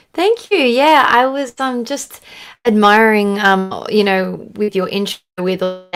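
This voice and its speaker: A woman with an Australian accent speaks at a moderate pace in a medium pitch. Her pitch varies in an ordinary way, and music plays in the background. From Australia, Sydney. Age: young. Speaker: country singer. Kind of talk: casual interview chat. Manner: halting, many fillers.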